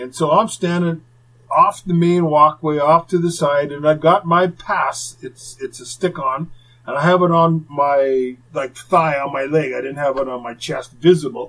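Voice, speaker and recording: A man talks at a fairly slow pace in a fairly high pitch, with an ordinary speaking voice. His loudness rises and falls in big swings. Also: ordinary pitch variation. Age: 50s. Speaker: retired hockey enforcer, podcast host. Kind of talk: casual storytelling.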